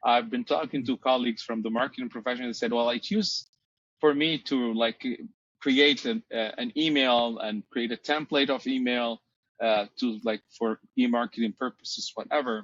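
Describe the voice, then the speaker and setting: Speaking with a Portuguese accent, a man varies his pitch in an ordinary way. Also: medium pitch for a man, moderate pace. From Brazil. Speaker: marketing professor. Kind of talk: podcast interview. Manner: hesitant, many fillers.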